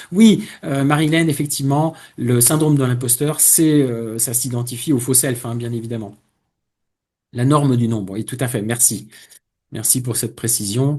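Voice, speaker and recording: A man's medium-pitched, somewhat breathy voice, dark and mellow in tone, with ordinary pitch variation, a moderate pace, long and frequent pauses, and a quiet background. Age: 60s. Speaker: career coach. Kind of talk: webinar presentation. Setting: online webinar. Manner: hesitant, many fillers.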